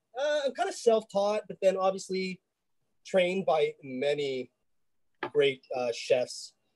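Against a quiet background, a man speaks fairly slowly in a high pitch that swings very widely. He leaves long, frequent pauses. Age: 40s. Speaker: chef; home cook host. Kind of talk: cooking demonstration. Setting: video call. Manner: casual, halting. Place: kitchen. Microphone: phone mic with audio problems; video call.

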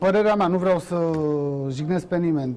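This man speaks at a high pitch with ordinary pitch variation. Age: 30s. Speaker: football coach, former striker. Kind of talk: talk show interview answer. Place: studio.

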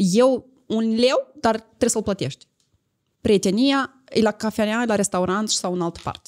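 A woman's fairly slow speech shows ordinary pitch variation over a quiet background. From Moldova. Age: 30s. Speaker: influencer. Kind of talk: casual chat. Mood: confident, assertive. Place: studio. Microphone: studio mic.

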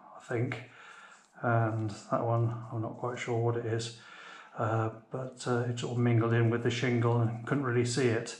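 A man talks at a moderate pace in a flat monotone, with audible echo from the room. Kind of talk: casual vlog chat. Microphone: phone near.

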